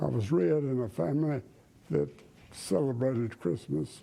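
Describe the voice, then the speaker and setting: A man with an American accent speaks at a fairly slow pace in a dark, mellow tone, his medium pitch swinging very widely. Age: 90s; old. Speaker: evangelist preacher. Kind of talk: interview answer.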